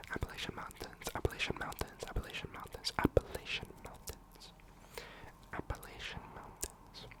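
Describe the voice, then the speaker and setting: Whispering at a moderate speed comes through noticeable background noise. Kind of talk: ASMR facts talk. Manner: whispered, soft-spoken.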